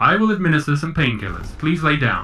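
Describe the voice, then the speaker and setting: A man performs a put-on character voice with fairly high pitch. He talks at a fairly quick pace over clear background noise. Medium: actual play. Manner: calm, polite, precise.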